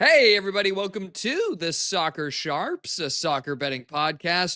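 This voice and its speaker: A high-pitched man's voice at a moderate pace, lively intonation, and noticeable background noise. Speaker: sports betting podcast co-host. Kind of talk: casual chat. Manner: animated.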